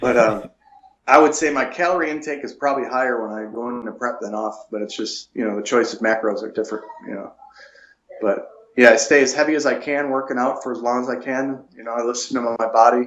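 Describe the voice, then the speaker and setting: Loudness swings widely as a man speaks very fast in an American accent. His intonation stays fairly even. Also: medium pitch for a man. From Buffalo, New York. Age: 40s. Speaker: natural bodybuilder. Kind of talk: interview.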